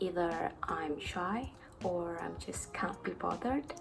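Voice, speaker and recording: A woman talks with ordinary pitch variation. Noticeable background noise runs behind her. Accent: non-native. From Indonesia. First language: not English. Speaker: barista and YouTuber. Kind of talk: Q&A vlog. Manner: casual.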